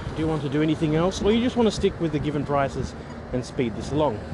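Amid audible room echo and noticeable background noise, a man with a fairly high pitch speaks with lively intonation. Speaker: podcaster on tabletop roleplay game mastering. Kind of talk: solo monologue, casual rant. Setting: outdoors, walking to the bus. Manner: rambling, with fillers and restarts.

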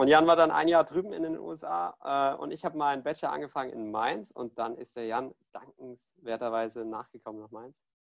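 A man speaks at a fairly quick pace with lively intonation and big swings in loudness. The sound is dry and close, with no echo. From Germany, Ludwigshafen. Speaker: student, podcast host. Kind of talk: casual chat.

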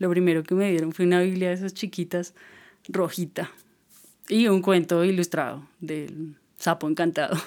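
Her voice is fairly low for a woman, delivered at a moderate pace in a monotone, flat way. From Colombia, Boyacá. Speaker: writer and musician. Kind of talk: casual interview chat.

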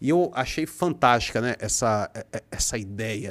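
Here a man speaks at a medium pitch with lively intonation and a fairly slow pace. The recording is very clean, with a silent background. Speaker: poet and writer. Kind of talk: casual chat.

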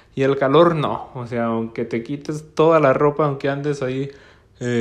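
A man at a medium pitch in a northern Mexican accent, with fairly even intonation and a fairly slow pace. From northern Mexico, Gómez Palacio, Durango (La Laguna). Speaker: podcast host. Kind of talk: casual solo podcast monologue.

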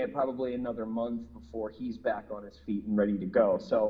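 A plain, everyday voice. It carries an American accent. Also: man. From Minneapolis, US Midwest. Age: 40s. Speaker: rock musician. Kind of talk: interview.

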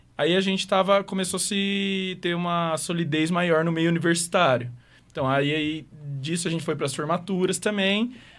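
This man speaks at a moderate pace with a high pitch and ordinary pitch variation. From Maringá, Paraná, Brazil. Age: 20s. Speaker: DJ and music producer. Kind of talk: casual interview.

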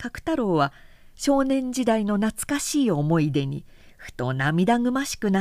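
Someone speaks in a natural reading voice.

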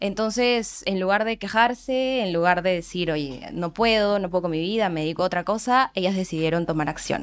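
A woman's unremarkable speaking voice at medium pitch and moderate pace, with ordinary pitch variation, hardly any pauses, and a very clean recording with a silent background. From Peru, Andahuaylas (Apurímac). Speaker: nonprofit board member. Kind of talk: podcast interview.

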